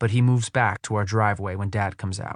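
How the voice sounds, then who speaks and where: Against a quiet background, a man with a fairly low, somewhat breathy voice speaks at a fairly quick pace with fairly even intonation. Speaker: audiobook narrator. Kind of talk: audiobook narration.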